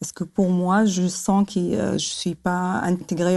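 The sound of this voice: A woman's slightly mellow, fairly low voice with vocal fry, little pitch movement and a fairly slow pace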